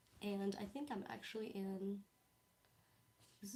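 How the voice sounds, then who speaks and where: The woman's voice is somewhat breathy. It sits at a medium pitch. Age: 20s. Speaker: blind YouTuber reading her old diary. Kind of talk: casual livestream chat. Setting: livestream.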